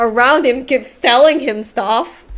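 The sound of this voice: Here a woman speaks at a fairly slow pace. Her voice is fairly high in pitch and fairly bright in tone.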